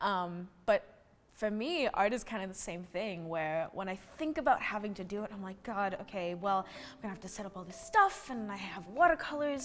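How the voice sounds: A woman talks at medium pitch and a fairly quick pace, with few pauses. Her intonation is lively.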